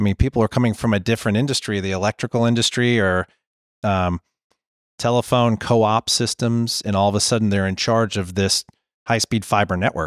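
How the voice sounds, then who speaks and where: A man with a normal speaking voice, fairly low in pitch and fairly even in intonation, talks at a fairly quick pace in a dry, close recording with no echo that is very clean, with a silent background. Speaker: podcast host. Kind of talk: interview. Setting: conference venue.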